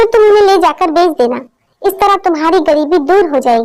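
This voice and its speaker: At a moderate pace, a female-sounding, cartoonish character voice speaks with extremely high pitch. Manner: gentle, caring.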